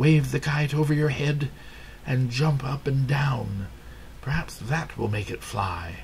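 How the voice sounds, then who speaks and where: A man uses a put-on character voice at a medium pitch and a fairly slow pace. Clear background noise runs behind him. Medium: read story. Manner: calm, reassuring.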